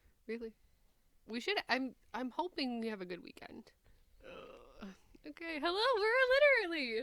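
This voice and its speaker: Speaking with a Midwestern accent at a moderate pace, a woman uses a high pitch with very wide pitch swings, big swings in loudness, and long, frequent pauses. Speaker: podcast host. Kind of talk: casual chat.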